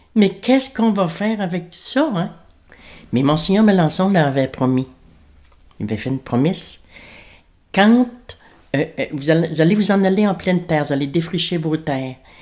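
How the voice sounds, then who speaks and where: The pitch swings very widely and the loudness rises and falls sharply. The pace is moderate. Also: woman, fairly low pitch for a woman. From Acadian New Brunswick, Kedgewick / Grand-Sault area. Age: 60s. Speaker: elder interviewee. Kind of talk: oral history interview. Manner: hesitant, many fillers.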